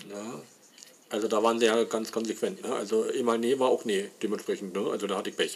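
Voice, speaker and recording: Against noticeable background noise, a man talks at a very fast pace and medium pitch with fairly even intonation. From Saxony, Leipzig. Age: 40s. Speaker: podcaster. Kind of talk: personal monologue. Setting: home. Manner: halting.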